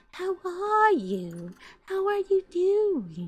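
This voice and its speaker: A put-on character voice sounds female, soft-spoken and breathy. The delivery stays soft and airy throughout. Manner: soft-spoken, sugary, fake-sweet.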